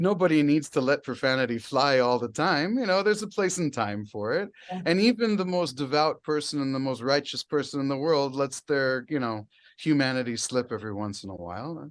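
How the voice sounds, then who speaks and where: A man with an American accent and a plain, everyday voice, fairly high in pitch, with lively intonation, a fairly quick pace and hardly any pauses. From United States. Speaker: heavy metal singer. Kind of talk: interview answer.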